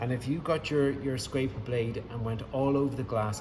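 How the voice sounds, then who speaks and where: With an Irish accent, a man talks at a moderate pace, with audible room echo and noticeable background noise behind him. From Ireland. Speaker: window cleaner. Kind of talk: tutorial. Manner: casual, hesitant with many fillers.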